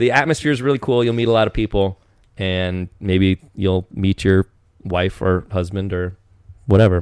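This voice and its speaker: A man talks with an American accent in a fairly low pitch at a moderate pace. His pitch varies normally, and the sound is dry and close with no echo. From eastern Washington, US. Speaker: podcast guest. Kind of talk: casual chat. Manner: animated.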